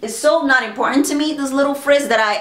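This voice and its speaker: Noticeable background noise and audible room echo accompany speech with lively intonation. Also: woman. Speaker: beauty vlogger. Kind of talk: product review vlog. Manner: casual, conversational.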